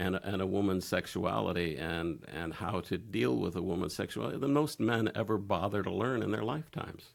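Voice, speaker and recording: In a very clean recording with a silent background, a man with a very deep, low pitch and vocal fry talks at a fairly quick pace, his pitch swinging very widely. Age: 60s. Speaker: interview guest on sex podcast. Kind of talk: casual interview. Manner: halting, many fillers.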